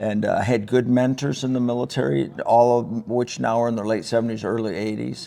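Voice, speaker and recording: A man at medium pitch, talking at a fairly quick pace with hardly any pauses, over noticeable background noise. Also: ordinary pitch variation. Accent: Upper Midwest. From Northern Michigan (Traverse City). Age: 60s. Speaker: retired army sergeant major. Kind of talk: casual interview chat. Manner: talkative.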